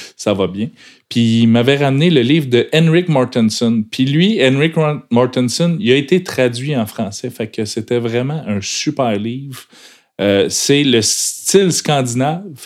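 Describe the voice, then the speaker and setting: The speaker has a Quebec accent and lively intonation. The pace is very slow. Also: man, medium pitch for a man. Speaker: fly fishing podcast co-host. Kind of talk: casual chat.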